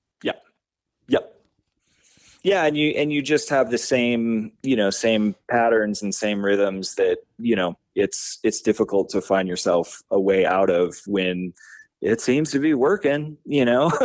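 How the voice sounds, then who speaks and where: A man with an American accent speaks fairly slowly at a medium pitch, his intonation lively. The background is quiet. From New Mexico, US. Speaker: rock band bassist. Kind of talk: casual interview chat. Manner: halting, many fillers.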